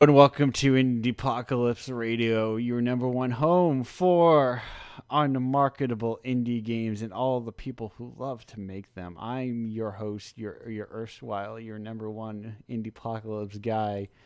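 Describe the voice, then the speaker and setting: At a fairly slow pace with hardly any pauses, a man speaks with big swings in loudness. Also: medium pitch for a man, ordinary pitch variation. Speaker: radio show host. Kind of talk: casual chat. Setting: online radio show over Discord. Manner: distinct host cadence.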